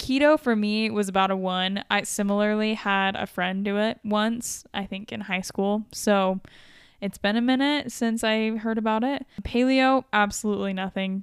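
A woman has an unremarkable speaking voice, fairly high in pitch. She goes at a moderate pace. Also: fairly even intonation. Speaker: podcast co-host. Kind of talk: casual chat.

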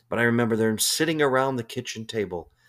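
A man speaks at a medium pitch with an American accent. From US Midwest, Chicago. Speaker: motivational speaker and business coach. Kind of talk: motivational talk. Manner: conversational, with repetitions and fillers.

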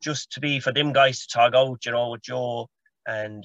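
Speaking with a Galway accent, a man has a medium pitch and a bright, sharp tone. His intonation is fairly even, his pace fairly quick, and the sound is dry and close with no echo. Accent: Galway Irish. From Ireland, County Galway. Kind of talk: casual sports chat.

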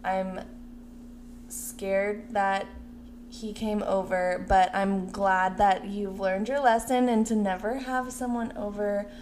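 A woman speaks at a very slow pace with fairly even intonation. Audible room echo surrounds her voice. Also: medium pitch for a woman. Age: 20s. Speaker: podcast co-host. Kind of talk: casual chat.

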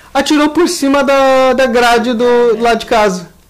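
An animated tone at a fairly slow pace, over noticeable background noise. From southern Brazil (Rio Grande do Sul). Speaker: podcast co-host. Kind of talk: casual chat.

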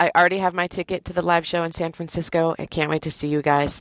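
A woman's plain, everyday voice, fairly low in pitch, at a fairly quick pace, with a dry, close sound and no echo. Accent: American. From US West Coast, Oakland, California. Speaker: listener leaving a voicemail. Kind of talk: voicemail message.

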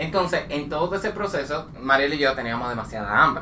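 Noticeable background noise runs under this recording. A man speaks at a fairly quick pace. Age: 20s. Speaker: podcast co-host. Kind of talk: casual chat.

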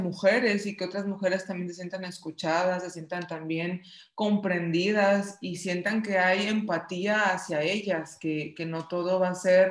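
A woman speaks at a fairly slow pace and a medium pitch. Her intonation is monotone and flat. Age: 30s. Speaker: podcast co-host. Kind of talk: casual chat.

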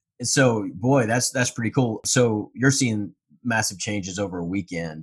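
A man talks in a plain, everyday voice. His pitch is fairly low and his pace moderate. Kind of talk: podcast interview.

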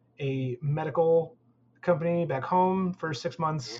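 Somewhat breathy, a man with an American accent talks at a fairly slow pace with ordinary pitch variation. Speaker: game artist. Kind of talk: casual interview.

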